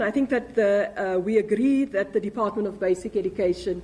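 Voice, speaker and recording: Noticeable background noise accompanies a woman talking very fast. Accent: South African. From South Africa. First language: Afrikaans. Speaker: political spokesperson. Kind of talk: press briefing. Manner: halting, with many repetitions and fillers.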